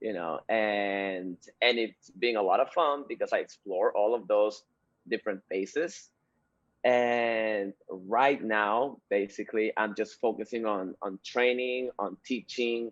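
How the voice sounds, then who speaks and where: Speaking with a Spanish accent, a man at medium pitch keeps a fairly slow pace and ordinary pitch variation. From Peru. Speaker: dancer and dance instructor. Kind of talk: interview.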